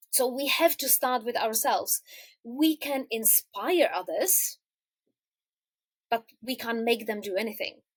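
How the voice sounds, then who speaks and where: With long, frequent pauses, a woman with a Czech accent speaks at a high pitch and a fairly slow pace, her intonation lively, in a dry, close sound with no echo. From Czech Republic. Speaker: quilter. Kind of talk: interview answer.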